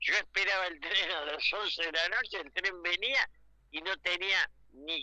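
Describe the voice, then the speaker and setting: A man speaks at a high pitch in a raised, projected voice. His tone is bright and sharp, and his pace is fairly slow. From Argentina. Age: 80s+. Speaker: political commentator. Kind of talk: radio interview.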